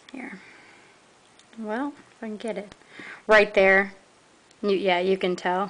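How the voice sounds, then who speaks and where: Speaking very slowly with an American accent, a woman at a medium pitch leaves long, frequent pauses, her loudness swinging widely over noticeable background noise. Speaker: toy reviewer. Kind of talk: product review. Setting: filmed at home late at night. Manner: halting.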